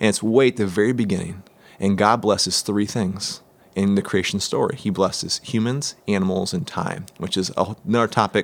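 The speech moves at a moderate pace with ordinary pitch variation. It is an unremarkable speaking voice. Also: man, fairly low pitch for a man. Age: 30s. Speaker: church ministry guest. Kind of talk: casual interview.

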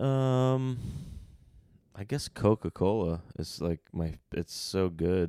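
The voice is dark and mellow, moving at a very slow pace with lively intonation. The recording is very clean, dry and close, with no echo and a silent background. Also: man, very deep, low pitch for a man. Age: 30s. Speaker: host's husband. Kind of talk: casual chat. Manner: loud.

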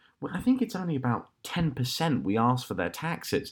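A man with a British accent, fairly high pitch and very wide pitch swings at a moderate pace, on a very clean recording with a silent background. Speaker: podcast host. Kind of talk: casual chat. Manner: halting.

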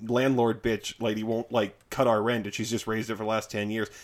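Speaking at a fairly quick pace, a man with a plain, everyday voice keeps to a medium pitch. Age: 30s. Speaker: podcast guest. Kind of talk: casual chat.

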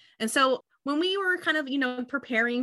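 A woman's bright, sharp voice at a fairly quick pace, in a dry, close sound with no echo over a quiet background. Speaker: financial planning education consultant, former extension educator. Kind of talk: casual conversation, podcast discussion.

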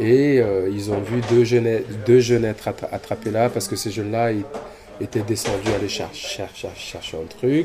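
Noticeable background noise sits behind a man's voice. He talks at medium pitch and a moderate pace with fairly even intonation. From Cameroon. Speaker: dancer and choreographer. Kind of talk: interview conversation. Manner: halting, many repetitions and fillers.

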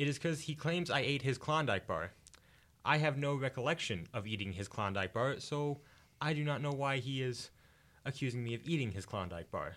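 The man keeps a moderate pace. Lively intonation colors his speech. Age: 20s. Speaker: college radio guest. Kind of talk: casual chat. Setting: studio.

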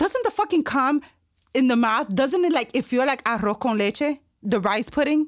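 Her loudness very even, a woman with a high pitch speaks in an animated tone with lively intonation at a moderate pace. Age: 30s. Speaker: podcast host. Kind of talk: casual chat. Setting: studio.

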